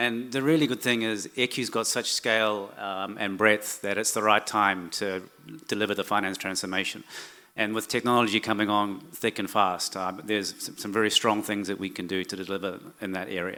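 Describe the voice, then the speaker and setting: A man's fairly low voice with a New Zealand accent, bright and sharp in tone, at a moderate pace with fairly even intonation. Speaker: corporate finance executive. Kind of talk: conference presentation. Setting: stage with audience. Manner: hesitant, many fillers.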